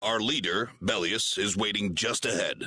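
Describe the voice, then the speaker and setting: Using a put-on character voice, a man speaks at a moderate pace with fairly low pitch. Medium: short film. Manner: formal, polite but firm.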